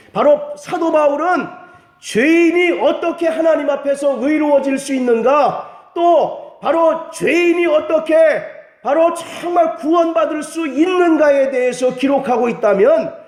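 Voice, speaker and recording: Over noticeable background noise and audible room echo, a man speaks very slowly at an extremely high pitch, with ordinary pitch variation. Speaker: pastor. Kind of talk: sermon.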